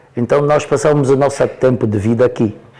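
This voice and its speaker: With ordinary pitch variation and a moderate pace, a man speaks over noticeable background noise. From Angola, Porto Amboim (Cuanza Sul). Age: 70s. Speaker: elder interviewee. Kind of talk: interview storytelling. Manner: halting, repetitive.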